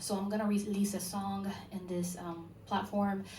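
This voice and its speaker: Over noticeable background noise and audible room echo, a woman with a Spanish accent speaks fairly slowly in a medium-pitched, monotone, flat voice. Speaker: musician. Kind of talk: panel discussion. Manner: halting.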